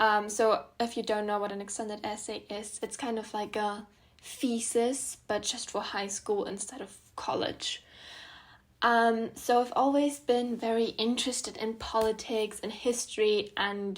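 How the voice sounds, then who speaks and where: A woman with a German accent, fairly high in pitch, monotone and flat in intonation, at a moderate pace, in a very clean recording with a silent background. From southern Germany, near Munich. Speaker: student podcaster. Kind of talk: casual podcast monologue. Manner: many filler ums.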